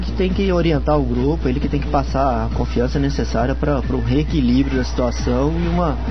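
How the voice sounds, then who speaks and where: Over music in the background, a man with a very deep, low pitch speaks at a fairly quick pace. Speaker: football analyst, match data researcher. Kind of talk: radio interview answer, analytical.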